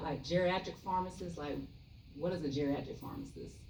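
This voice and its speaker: Very fast speech from a woman with a Southern US accent is heard with audible room echo. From US South, Columbia, South Carolina. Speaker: pharmacist. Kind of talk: health talk to seniors. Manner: soft-spoken; casual with many fillers.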